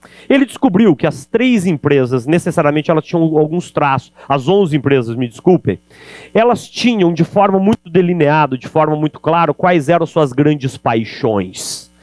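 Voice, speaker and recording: With an animated tone and lively intonation, a man talks at a moderate pace in a fairly high pitch, the sound dry and close with no echo. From Brazil, interior (countryside). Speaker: sales speaker. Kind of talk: keynote talk. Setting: stage with audience.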